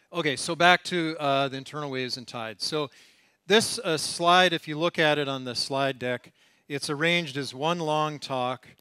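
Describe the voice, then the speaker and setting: With an American accent, a man talks at a moderate pace in a bright, sharp tone with ordinary pitch variation. The sound is dry with no echo, and the background is quiet. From United States. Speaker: professor, oceanographer; lecturer. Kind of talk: lecture. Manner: hesitant, many fillers. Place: hall.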